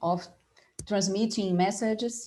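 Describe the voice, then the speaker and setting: A woman with a Portuguese accent speaks at a fairly slow pace and fairly high pitch, somewhat breathy, in a dark, mellow tone with fairly even intonation. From Brazil, Rio de Janeiro. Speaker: design professor and panel moderator. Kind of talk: academic conference presentation.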